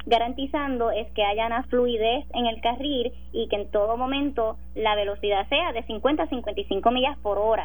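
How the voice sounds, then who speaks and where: A woman with a fairly high voice speaks at a moderate pace, with audible room echo. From Puerto Rico, Sabana Grande. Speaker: government official. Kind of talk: radio interview.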